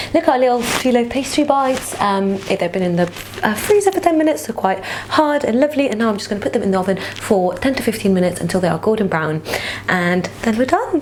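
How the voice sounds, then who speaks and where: At a very fast pace, a woman speaks with a fairly high pitch and very wide pitch swings. Noticeable background noise can be heard. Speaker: cooking youtuber. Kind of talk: cooking tutorial. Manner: energetic.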